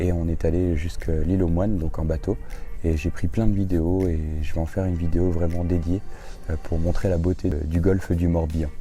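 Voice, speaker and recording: A man's very deep, low voice at a fairly quick pace, with fairly even intonation, audible room echo and music in the background. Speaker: travel vlogger. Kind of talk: casual vlog narration. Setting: outdoors in a garden. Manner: hesitant, many fillers.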